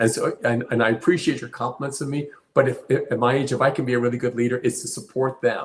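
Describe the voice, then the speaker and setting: Somewhat breathy, a man talks at a very fast pace. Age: 70s. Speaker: company CEO. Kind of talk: interview. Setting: live stream.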